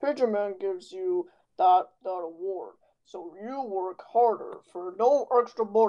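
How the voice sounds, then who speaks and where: A woman speaks at a fairly high pitch with lively intonation. Her pace is fairly slow. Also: big swings in loudness. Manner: sarcastic, scornful.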